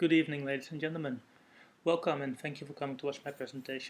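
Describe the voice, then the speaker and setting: The man's voice is fairly high. His intonation stays monotone and flat. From Netherlands. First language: Dutch. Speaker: software developer. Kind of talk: technical presentation. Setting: recorded separately from meetup talk.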